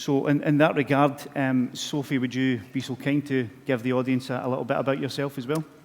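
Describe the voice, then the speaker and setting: A man talks at a fairly quick pace with hardly any pauses, at a medium pitch. His intonation is flat and monotone, with a strong Scottish accent. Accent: Scottish, broad. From Scotland. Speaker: corporate communications manager, presenter. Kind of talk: conference presentation. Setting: stage with audience. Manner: halting.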